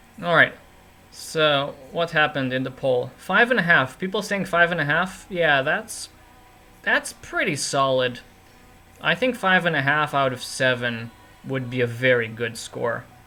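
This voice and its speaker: Pitched fairly high, a man speaks at a fairly slow pace with lively intonation. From Romania. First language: Romanian. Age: 20s. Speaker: chess streamer and commentator. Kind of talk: live stream commentary and chat. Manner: casual, chatty.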